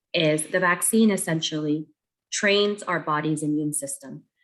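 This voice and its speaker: A woman's voice, very deep and low, moves at a moderate speed. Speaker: pediatric doctor. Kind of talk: public health talk. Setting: video call.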